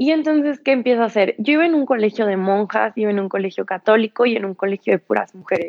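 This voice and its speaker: A woman's fairly high voice, very fast and lively in intonation, with hardly any pauses. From Mexico, San Luis Potosí. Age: 20s. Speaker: yoga teacher in addiction recovery. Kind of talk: personal testimony. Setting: live stream.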